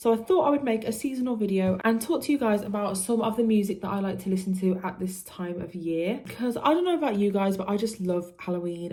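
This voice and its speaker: A woman with a British accent at a medium pitch and fairly quick pace, with hardly any pauses and ordinary pitch variation, against noticeable background noise. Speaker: music youtuber. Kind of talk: casual vlog talk to camera.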